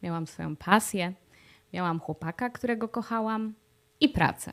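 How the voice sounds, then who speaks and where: A woman speaks at a fairly slow pace with lively intonation and a fairly high pitch, recorded very cleanly against a silent background. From Poland. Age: 30s. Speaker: vlogger. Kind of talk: video diary monologue. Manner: frequent fillers.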